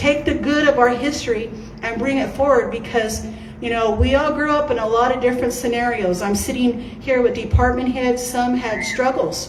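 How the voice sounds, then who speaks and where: A loud, high-pitched woman's voice with audible room echo and noticeable background noise. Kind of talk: campaign speech. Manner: animated.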